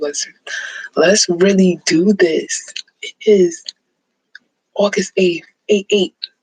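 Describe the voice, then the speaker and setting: A woman speaks at a very slow pace in a dry, close sound with no echo. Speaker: forex trading promoter. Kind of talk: motivational vlog.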